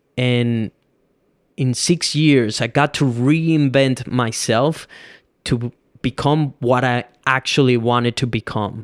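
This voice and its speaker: Very slowly and with long, frequent pauses, a man with a Venezuelan accent speaks at medium pitch with fairly even intonation, in a very clean recording with a silent background and dry, close sound without echo. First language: Spanish. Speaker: podcast host and filmmaker. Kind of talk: solo podcast monologue. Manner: casual, conversational.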